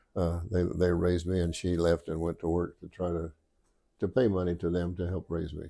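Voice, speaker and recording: A man with a Midwestern US accent, very deep and low, dark and mellow in tone, flat and monotone, at a fairly quick pace on a very clean recording with a silent background. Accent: rural Midwestern US. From Oklahoma and Kansas farm country. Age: 80s+. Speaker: retired state trooper. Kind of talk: interview storytelling. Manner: halting.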